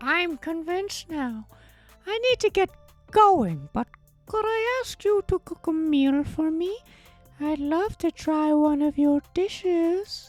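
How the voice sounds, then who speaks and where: A put-on character voice speaks at a fairly slow pace. Faint music sits in the background. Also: female-sounding voice, extremely high pitch for a woman. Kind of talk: put-on old lady voice. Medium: virtual streamer. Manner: warm, friendly.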